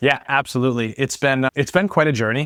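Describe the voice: A man speaks fast at a medium pitch, his tone clear and smooth, in a dry, close sound with no echo on a very clean recording with a silent background. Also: ordinary pitch variation.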